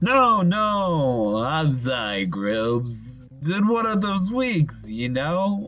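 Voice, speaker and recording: A man does a put-on character voice, fairly high in pitch with very wide pitch swings. He speaks very slowly over clear background noise. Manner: brash, wisecracking.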